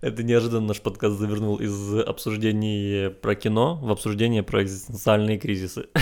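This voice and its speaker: At a moderate pace, a man with a normal speaking voice and fairly low pitch talks with fairly even intonation. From Ukraine. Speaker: podcast co-host. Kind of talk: casual chat.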